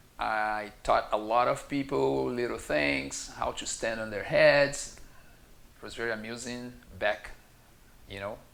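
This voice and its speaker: In a room with audible echo, a man with a Brazilian Portuguese accent speaks fairly slowly at medium pitch, with lively intonation, big swings in loudness, and long, frequent pauses. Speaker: yoga teacher. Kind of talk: casual talk to camera.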